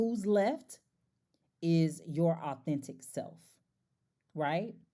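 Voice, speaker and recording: A woman with a fairly low pitch and a dark, mellow tone speaks at a very slow pace with ordinary pitch variation. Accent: slight country. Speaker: life coach and podcast host. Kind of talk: casual monologue. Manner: animated.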